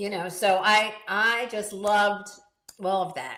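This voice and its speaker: A woman's medium-pitched voice at a very slow pace, with audible room echo. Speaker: podcast co-host. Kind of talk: casual chat. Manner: animated.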